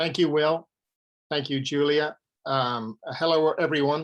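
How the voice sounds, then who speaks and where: Against a quiet background, a man with an Irish accent speaks at a moderate pace and a fairly high pitch. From Ireland, Dublin. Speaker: author and conservationist. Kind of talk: presentation. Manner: halting, many fillers and repeats.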